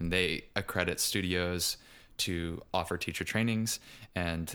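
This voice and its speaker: A bright, sharp tone with an American accent at a moderate pace, on a very clean recording with a silent background. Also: man. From US South, Richmond, Virginia. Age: 20s. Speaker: yoga teacher and podcaster. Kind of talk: casual interview.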